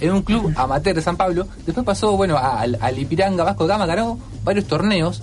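A man with an Argentine accent speaks at a fairly quick pace in a high pitch. Music plays in the background. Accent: Rioplatense Argentine Spanish. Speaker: radio co-host. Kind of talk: casual chat.

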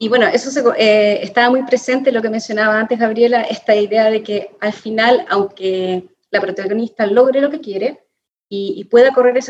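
With ordinary pitch variation, the voice proceeds at a moderate pace. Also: woman. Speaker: podcast co-host. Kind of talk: casual interview chat.

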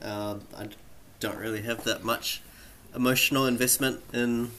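Bright and sharp in tone, a man speaks with an American accent at a moderate pace. His pitch is medium and his intonation fairly even. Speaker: podcast panelist. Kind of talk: casual chat.

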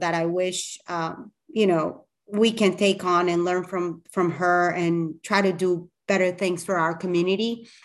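A woman with a Spanish accent at medium pitch, speaking fairly slowly. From Colombia. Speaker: communications professional. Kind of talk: interview.

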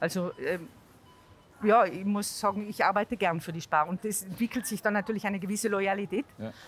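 A woman with a Tyrolean accent at a medium pitch, fairly even intonation, and a fairly quick pace, with music in the background. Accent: Tyrolean dialect, kept. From Tyrol, Austria. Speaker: marketing employee, mother. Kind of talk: casual interview.

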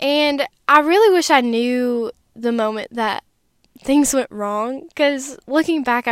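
A woman with an American accent speaks in a high pitch with lively intonation and a fairly slow pace, on a very clean recording with a silent background. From Wisconsin, US Midwest. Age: 20s. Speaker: podcaster and content creator. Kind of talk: personal testimony. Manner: animated.

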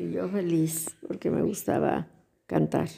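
Speaking at a very slow pace, a woman talks. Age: 70s. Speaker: grandmother interviewed by grandson. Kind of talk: casual interview.

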